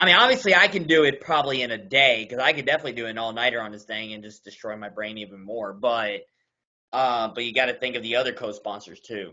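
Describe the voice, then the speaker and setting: The delivery comes at a very fast pace with ordinary pitch variation. Loudness swings widely throughout. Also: man, medium pitch for a man. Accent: slight Southern US. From US South, Kentucky (Louisville). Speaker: meeting chair. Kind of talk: casual meeting discussion.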